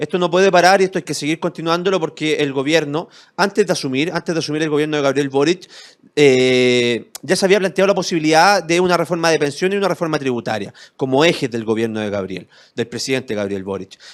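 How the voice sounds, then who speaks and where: A man's animated, very fast delivery in a Chilean accent, with a fairly high pitch and lively intonation. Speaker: lawyer and civic movement founder. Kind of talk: interview.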